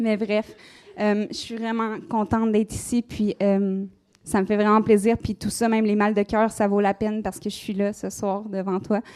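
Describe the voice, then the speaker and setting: Speaking at a moderate pace with a Quebec accent, a woman uses a dark, mellow tone at a medium pitch, her intonation monotone and flat, in a very clean recording with a silent background. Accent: Québécois French. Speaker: conference speaker on magic. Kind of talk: live conference talk. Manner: casual, many hesitations.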